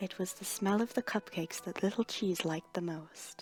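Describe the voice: At a moderate pace, a woman speaks with medium pitch, ordinary pitch variation and a slightly mellow tone.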